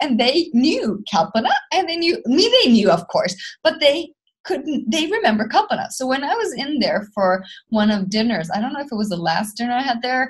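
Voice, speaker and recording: With a Swedish accent, a woman speaks at a moderate pace in a high pitch, her pitch swinging very widely. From Sweden. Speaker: spiritual book club co-host. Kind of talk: casual chat. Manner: loud laugh.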